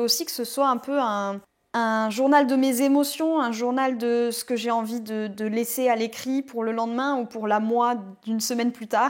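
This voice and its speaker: A woman speaks in a high voice with fairly even intonation, recorded very cleanly against a silent background. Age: 20s. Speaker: vlogger and self-confidence mentor. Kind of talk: casual vlog. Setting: outdoors in a garden. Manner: fast.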